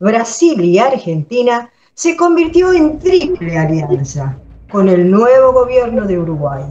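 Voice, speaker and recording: Very slowly, a woman talks in a somewhat breathy voice with a dark, mellow tone and very wide pitch swings. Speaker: radio drama narrator. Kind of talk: radio drama narration. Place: home room. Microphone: webcam.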